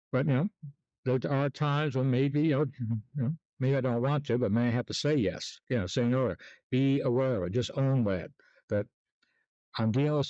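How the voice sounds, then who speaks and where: At a fairly quick pace, a man speaks in a dark, mellow tone with ordinary pitch variation and very even loudness, the sound dry and close with no echo over a quiet background. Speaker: sleep technologist and self-help vlogger. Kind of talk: casual monologue vlog. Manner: hesitant, many fillers; mumbling at times.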